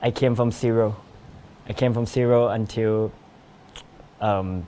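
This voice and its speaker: A man speaks at a medium pitch with a dark, mellow tone. His pace is fairly slow, broken by long, frequent pauses. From Thailand. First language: Thai. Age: 20s. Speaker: TV show guest. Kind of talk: interview. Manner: halting.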